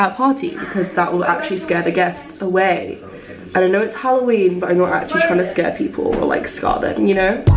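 Faint music plays in the background as someone speaks at a fairly quick pace. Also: woman. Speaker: vlogger. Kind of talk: casual vlog chat. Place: bathroom. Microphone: phone near.

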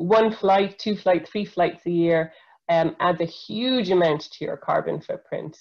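A woman with an Irish accent speaks at a moderate pace in a fairly low pitch, with ordinary pitch variation, against a quiet background. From Ireland. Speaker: environmental scientist; presenter. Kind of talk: educational webinar talk for school pupils. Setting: video call webinar. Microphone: video call.

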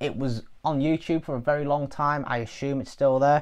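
Against a quiet background, the speaker talks with an English accent in a monotone, flat intonation. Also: man. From England. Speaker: music reviewer. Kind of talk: casual spoken review. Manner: hesitant with frequent fillers. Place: home room. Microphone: lapel.

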